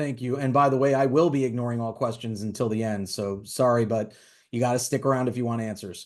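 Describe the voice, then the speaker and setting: The speech runs at a very fast pace with fairly even intonation. The background is quiet. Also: man, medium pitch for a man. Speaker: attorney instructor. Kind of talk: lecture. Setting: webinar.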